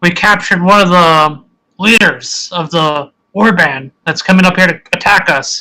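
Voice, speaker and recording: A man puts on a character voice. It sits high in pitch. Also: moderate pace, ordinary pitch variation. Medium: actual play.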